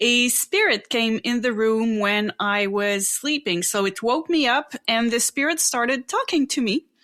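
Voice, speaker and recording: A woman's fairly high, bright, sharp voice in a French Canadian accent, at a fairly slow pace with lively intonation, very even loudness and hardly any pauses. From Quebec, Canada. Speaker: psychic and spiritual teacher. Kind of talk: interview.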